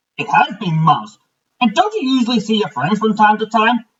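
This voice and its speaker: A man uses a put-on character voice pitched high. He talks at a fairly quick pace. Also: lively intonation. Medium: read story. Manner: warm, easygoing.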